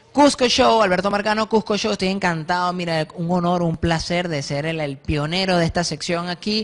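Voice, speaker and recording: A man at a moderate pace, with lively intonation. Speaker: stand-up comedian, TV guest. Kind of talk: stand-up comedy monologue. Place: studio. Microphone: handheld.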